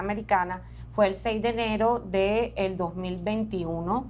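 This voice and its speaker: This woman has an unremarkable speaking voice, medium in pitch with ordinary variation. She speaks at a fairly slow pace. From Colombian Caribbean coast, Barranquilla. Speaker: journalist. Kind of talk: interview. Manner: conversational.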